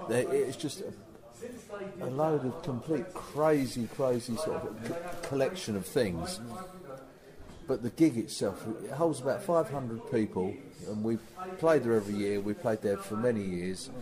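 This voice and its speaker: With an English accent, a man talks fairly slowly at medium pitch, his voice swinging very widely in pitch. Audible room echo and noticeable background noise surround him. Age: 60s. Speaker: rock musician. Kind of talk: interview. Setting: backstage before a gig. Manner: hesitant, with repeated words.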